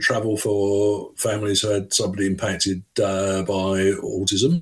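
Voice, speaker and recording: There is noticeable background noise. A man with a fairly low pitch speaks at a moderate pace. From England, London. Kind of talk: radio interview.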